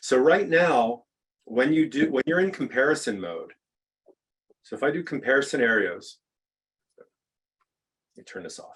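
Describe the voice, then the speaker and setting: A man with a fairly high pitch and vocal fry speaks with ordinary pitch variation, big swings in loudness and long, frequent pauses. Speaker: software product expert. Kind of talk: live software demo. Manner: slow, thinking aloud; halting, stammering restarts.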